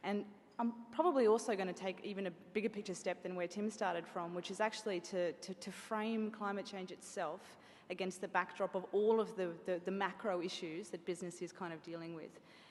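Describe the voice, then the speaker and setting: A woman with an Australian accent at a fairly quick pace, her intonation fairly even. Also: medium pitch for a woman. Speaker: bank sustainability executive. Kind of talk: conference talk. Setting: event venue with audience. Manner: fast.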